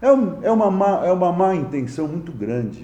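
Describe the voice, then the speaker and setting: In a room with audible echo, a man talks at a high pitch with lively intonation. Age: 60s. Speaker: mayor. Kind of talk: press conference. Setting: press conference with reporters. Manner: halting, frequent stammered repetitions.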